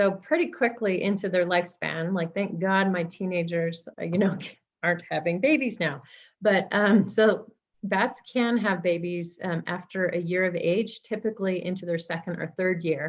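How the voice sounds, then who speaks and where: At a moderate pace and medium pitch, a woman speaks in a plain, everyday voice with ordinary pitch variation. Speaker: bat specialist. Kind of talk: educational talk. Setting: video call.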